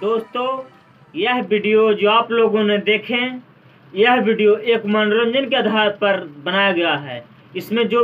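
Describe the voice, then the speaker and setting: With music in the background, a man speaks at a very slow pace. He has a high pitch and fairly even intonation. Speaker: video channel creator. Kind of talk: appeal to viewers, outro message. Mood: earnest, pleading. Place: home room. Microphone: phone near.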